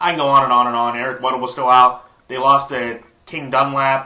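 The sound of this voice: A man's voice has a bright, sharp tone, with audible room echo around it.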